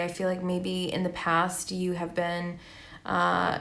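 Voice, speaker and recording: A woman with a medium pitch speaks at a very slow pace amid audible room echo. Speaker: tarot reader. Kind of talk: tarot reading. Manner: monotone.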